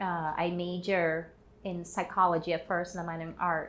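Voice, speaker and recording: A woman with a Portuguese accent, fairly low in pitch, at a moderate pace. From Brazil, São Paulo. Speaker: artist and activist. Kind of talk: personal testimony.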